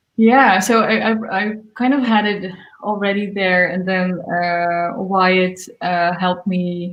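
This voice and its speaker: A woman with a Dutch accent talks at a very slow pace, her pitch varying in an ordinary way. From Netherlands. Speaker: singer-songwriter. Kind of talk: interview. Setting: livestream. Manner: halting.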